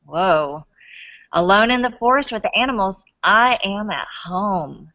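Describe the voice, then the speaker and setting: With lively intonation, a woman talks at a medium pitch. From Alabama. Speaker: author reading to school classes. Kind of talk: reading aloud.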